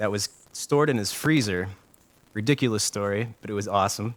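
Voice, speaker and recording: In a plain, everyday voice, a man with an American accent talks at a moderate pace and medium pitch, his pitch varying in an ordinary way. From Ohio. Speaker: internet radio show host. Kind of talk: casual chat. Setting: internet radio stream.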